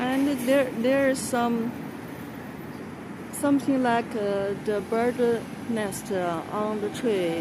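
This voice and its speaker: Talking at a very slow pace with long, frequent pauses, a woman with a Chinese accent and a fairly high pitch is heard amid noticeable background noise and audible room echo. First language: Mandarin. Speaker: vlogger. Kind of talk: casual walking vlog. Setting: outdoors on a street. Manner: halting, many fillers and repeats.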